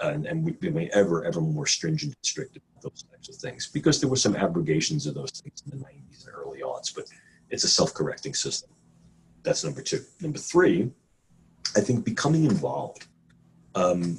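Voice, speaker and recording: A man with a New York accent, fairly quick pace and big swings in loudness. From New York City. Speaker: neuroscientist. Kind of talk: interview. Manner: some hesitations and repeated words.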